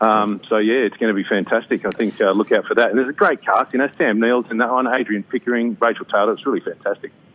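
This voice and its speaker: This man speaks very fast, with hardly any pauses, in an Australian accent. His intonation is fairly even. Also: medium pitch for a man. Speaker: actor and singer. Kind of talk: radio interview.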